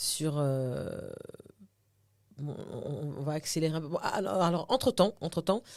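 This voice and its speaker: The speaker goes at a very slow pace with lively intonation and long, frequent pauses. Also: woman, very deep, low pitch for a woman, big swings in loudness. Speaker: actress and TV host. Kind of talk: podcast interview. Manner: casual, code-switching into English.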